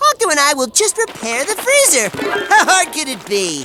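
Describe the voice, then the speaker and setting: A high-pitched cartoonish character voice at a moderate pace. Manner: upbeat, breezy.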